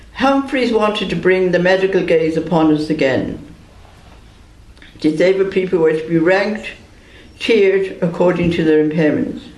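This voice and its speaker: Lively intonation from a man with a high pitch, at a moderate pace, with audible room echo and noticeable background noise. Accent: Irish. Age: 70s. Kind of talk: prepared statement read aloud at press conference. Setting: press conference.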